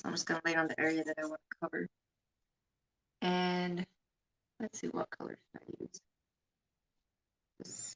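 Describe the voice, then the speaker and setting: In a dry, close recording with no echo, a soft-spoken voice holds a monotone, flat intonation at a moderate pace, with big swings in loudness and long, frequent pauses. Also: woman. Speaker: art teacher. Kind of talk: live painting tutorial. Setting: live stream on camera. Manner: halting.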